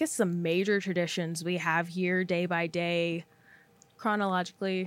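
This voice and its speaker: The pace is moderate. A woman delivers it at a medium pitch. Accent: Texan. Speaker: podcast host, college peer financial coach. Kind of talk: casual chat.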